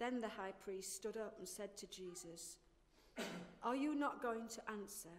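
With an unremarkable speaking voice, a woman talks at a fairly slow pace, her pitch fairly high and her pitch variation ordinary. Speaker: scripture reader. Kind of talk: reading aloud. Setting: church service. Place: church. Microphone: handheld.

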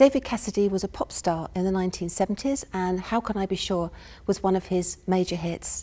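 With ordinary pitch variation, a woman speaks in a dark, mellow tone. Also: fairly quick pace. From United Kingdom. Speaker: university professor giving a lecture. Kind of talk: academic lecture. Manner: soft-spoken, calm. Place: stage.

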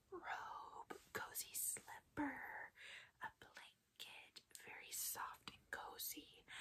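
A whispering voice speaks at a very slow pace. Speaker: ASMR creator giving massage. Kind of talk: ASMR roleplay with whispered ramble. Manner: whispered, soft-spoken.

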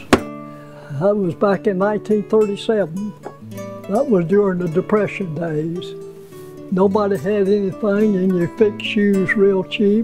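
Over clear background music, a man with a Southern US accent and a high voice speaks at a fairly slow pace with ordinary pitch variation. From South Carolina. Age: 90s. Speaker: shoe repairman. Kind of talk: interview answer. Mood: warm, reminiscing. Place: workshop.

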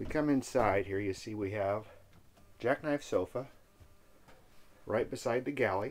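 The speaker is a man at a moderate pace. His pitch varies in an ordinary way. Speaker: RV salesperson. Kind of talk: walkthrough tour narration. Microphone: phone near.

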